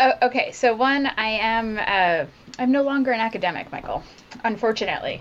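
A woman's fairly high, normal speaking voice at a fairly quick pace, with ordinary pitch variation. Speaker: biotech scientist. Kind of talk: casual chat. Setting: video call.

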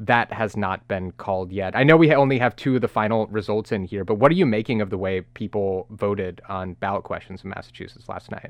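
An ordinary speaking voice runs at a fairly quick pace with hardly any pauses and ordinary pitch variation. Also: man, fairly low pitch for a man. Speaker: radio host. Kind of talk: news podcast banter.

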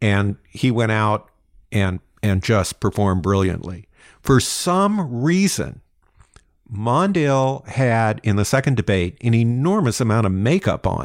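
In a very clean recording with a silent background, a man at medium pitch speaks fairly slowly with lively intonation and very even loudness. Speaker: history podcast co-host, lecturer. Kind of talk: casual chat.

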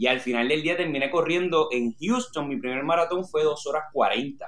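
A normal speaking voice from a man, fairly high in pitch, at a moderate pace. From Puerto Rico (Orocovis). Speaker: marathon runner. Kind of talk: interview.

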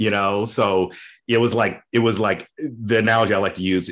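Against a quiet background, a man with an American accent talks in an ordinary speaking voice at a fairly low pitch with fairly even intonation. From US South, Memphis, Tennessee. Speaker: lawyer. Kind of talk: interview.

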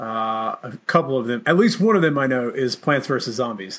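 A man with a normal speaking voice, medium pitch and a moderate pace. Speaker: podcast host. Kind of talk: casual interview chat.

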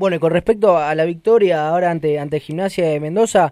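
A high-pitched male voice at a fairly quick pace, with ordinary pitch variation. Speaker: sports radio host. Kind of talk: sports radio talk show.

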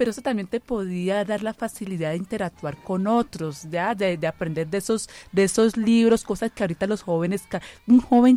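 In a dark, mellow tone, a woman talks at a fairly quick pace and medium pitch with ordinary pitch variation, the sound dry and close with no echo. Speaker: bacteriologist, blood bank director. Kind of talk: radio panel conversation. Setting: radio studio.

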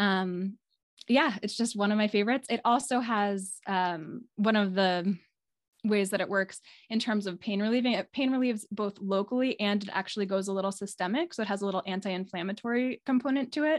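A woman's ordinary speaking voice, medium in pitch with ordinary pitch variation, at a fairly quick pace against a quiet background. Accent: American. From New York City area. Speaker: clinical herbalist. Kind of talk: casual interview. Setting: video call.

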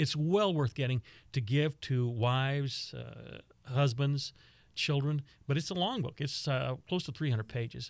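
With an American accent, a man uses an unremarkable speaking voice at a fairly high pitch, speaking at a fairly slow pace with ordinary pitch variation. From Texas. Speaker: radio veteran and author. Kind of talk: casual interview chat.

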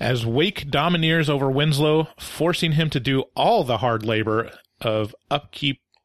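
A plain, everyday voice from a man at medium pitch, fairly slow in pace, with a quiet background and a dry, close sound with no echo. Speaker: movie review podcast host. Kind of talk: casual comedic review chat. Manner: joking, playful.

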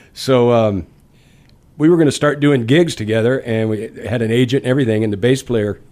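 An American accent comes through as this man talks. He keeps a moderate pace with ordinary pitch variation. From Louisiana and Texas. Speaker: blues guitarist and singer-songwriter. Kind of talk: casual radio interview, relaxed chat. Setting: radio studio interview. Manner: easygoing, friendly, laid-back.

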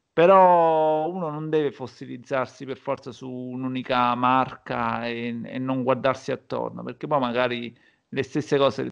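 A man's normal speaking voice at medium pitch, fairly slow and fairly even in intonation, over a quiet background. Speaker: podcast host. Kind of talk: casual chat.

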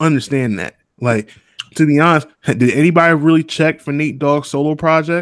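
A man with an ordinary speaking voice talks at a moderate pace. His pitch sits fairly high and varies in an ordinary way. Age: 20s. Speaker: podcast host. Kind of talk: casual chat.

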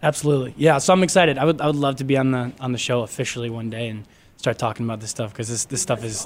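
A man talks very fast with an American accent. His pitch varies in an ordinary way. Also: medium pitch for a man. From Michigan, US Midwest (Grand Rapids). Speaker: media production assistant. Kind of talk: casual chat, personal storytelling. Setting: radio studio.

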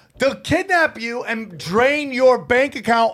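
A man's voice sits at an extremely high pitch, with lively intonation and an animated tone. He speaks at a fairly slow pace. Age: 40s. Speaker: comedian and podcast co-host. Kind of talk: casual chat.

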